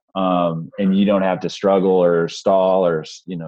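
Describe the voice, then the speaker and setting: A man speaks quietly in a very deep, low voice. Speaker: webinar host for a sales community. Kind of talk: online webinar presentation. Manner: quiet, holding back volume; hesitant, many fillers.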